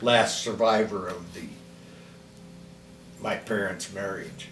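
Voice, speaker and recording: Amid noticeable background noise and audible room echo, a man with an American accent speaks at a very slow pace and a medium pitch, with ordinary pitch variation. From US Midwest, Kalamazoo, Michigan. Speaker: grandparent telling life story. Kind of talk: oral history interview. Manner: halting.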